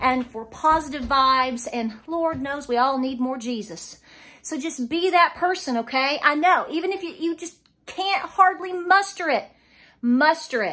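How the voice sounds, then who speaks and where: A woman speaks in a raised, projected voice at a moderate pace, with big swings in loudness against a quiet background. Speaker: homestead vlogger. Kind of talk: casual vlog chat. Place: kitchen. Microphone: phone near.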